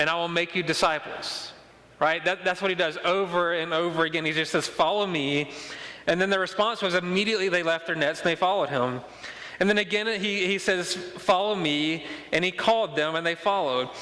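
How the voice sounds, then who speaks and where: A man's high-pitched voice at a fairly quick pace, fairly even intonation, and noticeable background noise. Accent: Mississippi. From Mississippi. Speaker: pastor. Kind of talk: sermon. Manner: fast; repetitive stammering restarts.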